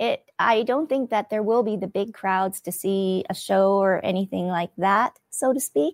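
A woman with a Canadian accent has an unremarkable speaking voice at medium pitch, talking at a fairly slow pace with ordinary pitch variation. The very clean recording has a silent background and a dry, close sound with no echo. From Canada, Winnipeg. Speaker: TV host and podcaster. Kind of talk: interview.

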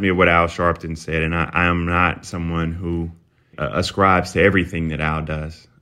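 A man speaks with a very deep, low pitch. He has a South Carolina accent. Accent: South Carolina Southern. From US South. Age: 30s. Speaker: political commentator. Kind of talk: interview.

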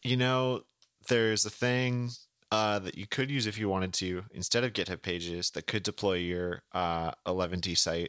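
Over a very clean recording with a silent background and a dry, close sound with no echo, a man speaks in an unremarkable speaking voice, fairly low, at a moderate pace with ordinary pitch variation. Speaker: podcast host. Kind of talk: casual chat.

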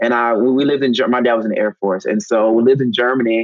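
With an American accent, a man in a normal speaking voice talks at a moderate pace and medium pitch, his intonation fairly even and the sound dry and close with no echo. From US South (North Carolina). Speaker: Broadway actor and singer. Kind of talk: casual interview.

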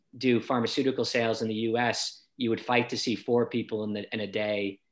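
This is a man's voice. He speaks with a Boston accent. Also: very clean recording, silent background. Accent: American, Boston area. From Boston, US. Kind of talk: casual interview chat.

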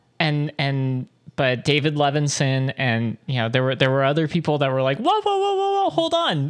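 A woman with a very deep, low voice speaks at a moderate pace and in a fairly even tone, her loudness staying very even over noticeable background noise. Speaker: podcast co-host. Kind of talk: casual chat. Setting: studio.

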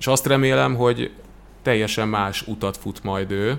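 At a fairly slow pace, a man with a fairly low pitch talks in an unremarkable speaking voice. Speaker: sports TV commentator. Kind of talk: casual chat.

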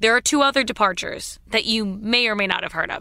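This woman has an unremarkable speaking voice. It sits at a fairly high pitch with ordinary pitch variation. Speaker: news podcast host. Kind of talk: news briefing, scripted-sounding daily rundown delivered briskly and clearly. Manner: brisk, concise, informative.

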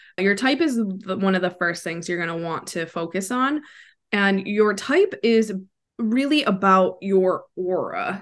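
Over a quiet background, a woman with an American accent talks in an ordinary speaking voice, medium in pitch, with lively intonation. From US Midwest, Wisconsin. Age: 30s. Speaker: human design coach. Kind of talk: interview.

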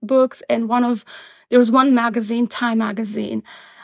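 In a Pashto accent, a woman speaks at a moderate pace with a fairly high pitch and monotone, flat intonation. The sound is dry and close, with no echo. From Afghanistan, Kandahar. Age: 20s. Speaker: quantum computing researcher, memoir author. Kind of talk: interview, personal story. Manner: hesitant, many fillers.

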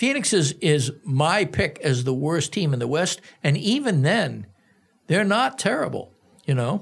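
A man speaks fairly slowly in an American accent, with an ordinary speaking voice and lively intonation. His loudness stays very even, and the recording is very clean with a silent background. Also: fairly high pitch for a man. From US Northeast, Boston. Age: 60s. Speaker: sports journalist. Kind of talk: casual interview chat.

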